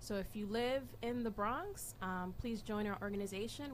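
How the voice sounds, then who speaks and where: Over light background noise, a woman speaks with vocal fry. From Dominican and Puerto Rican heritage. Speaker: political activist; guest. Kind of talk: interview. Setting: studio. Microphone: studio mic.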